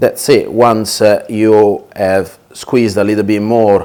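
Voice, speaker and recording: Against noticeable background noise, a man with a medium pitch talks at a fairly slow pace. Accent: Italian. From Italy. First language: Italian. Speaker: chef. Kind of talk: tutorial. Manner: hesitant, many fillers.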